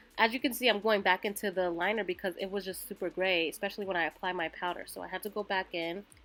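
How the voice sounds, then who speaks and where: A woman speaks very fast with ordinary pitch variation over music in the background. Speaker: beauty vlogger. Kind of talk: makeup tutorial voiceover. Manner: casual, chatty.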